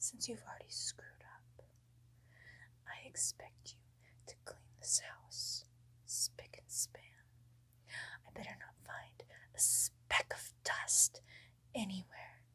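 A woman whispering at a very slow pace, menacing in tone, with long, frequent pauses and big swings in loudness. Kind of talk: acted role-play monologue. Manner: soft-spoken, menacing controlling girlfriend. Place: home room. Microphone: phone near.

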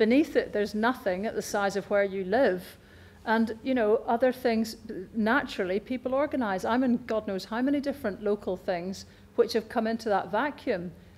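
The speaker talks at a moderate pace with a Scottish accent. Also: woman, fairly high pitch for a woman, ordinary pitch variation. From Scotland. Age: 50s. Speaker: speaker at a public talk; public speaker. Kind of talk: public talk; audience Q&A. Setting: stage with audience. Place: hall.

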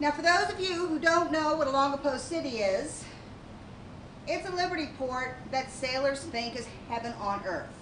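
A woman speaks at a moderate pace with a high pitch and lively intonation. Noticeable background noise runs underneath. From Baltimore. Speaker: Coast Guard veteran. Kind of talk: staged testimony. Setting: stage with audience. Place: stage.

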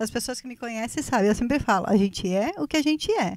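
Very fast and high-pitched, a woman talks with lively intonation in a dry sound with no echo and a quiet background. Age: 40s. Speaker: guest. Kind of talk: casual chat. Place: studio. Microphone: handheld.

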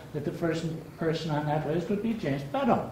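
A man with a high-pitched voice and ordinary pitch variation is heard with audible room echo and light background noise. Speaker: audience member. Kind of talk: audience comment. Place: meeting room. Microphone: camera far.

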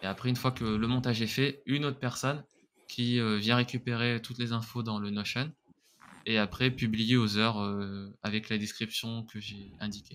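The man's voice has a medium pitch and a monotone, flat intonation. He moves at a moderate pace. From France, Grenoble area; France. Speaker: content creator; podcast guest, content creator. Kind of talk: interview. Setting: remote recording. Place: home room. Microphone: studio mic.

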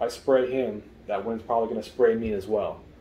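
A man speaks at a moderate pace in a monotone, flat intonation. There is audible room echo and light background noise. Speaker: product reviewer. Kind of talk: tutorial. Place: home room.

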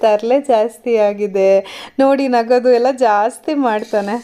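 In a cheerful tone, a woman speaks with a fairly high voice and ordinary pitch variation. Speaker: vlogger. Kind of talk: voice-over vlog narration. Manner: cheerful, smiling.

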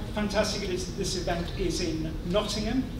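A man is heard with audible room echo. Noticeable background noise runs behind him. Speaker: university institute director. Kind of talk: welcome speech. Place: hall. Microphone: podium.

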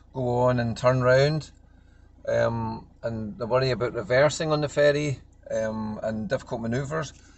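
A man speaks with ordinary pitch variation. The sound is dry with no echo, and there is light background noise. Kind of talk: casual vlog chat. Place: car. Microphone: phone near.

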